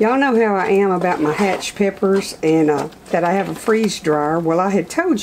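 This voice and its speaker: Over noticeable background noise, a woman speaks at a moderate pace with ordinary pitch variation. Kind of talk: cooking tutorial. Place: kitchen.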